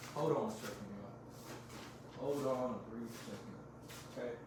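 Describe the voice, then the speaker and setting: Noticeable background noise and audible room echo surround a man speaking at medium pitch with ordinary pitch variation. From US, Mexican-American family. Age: 20s. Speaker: vlogger. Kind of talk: personal vlog confession. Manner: casual, rambling with repetitions.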